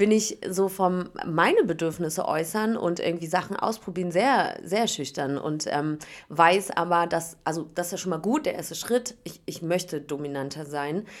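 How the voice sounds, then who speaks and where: On a very clean recording with a silent background, a woman uses an unremarkable speaking voice at medium pitch, a moderate pace and ordinary pitch variation. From Berlin, Germany. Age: 30s. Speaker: reality TV contestant and radio host. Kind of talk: casual interview chat. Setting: hotel room.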